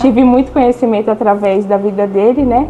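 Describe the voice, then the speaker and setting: Against noticeable background noise, a woman speaks at a moderate pace in a fairly high, flat monotone. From Brazil, São Paulo. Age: 20s. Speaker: young entrepreneur giving faith testimony. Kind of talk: testimony.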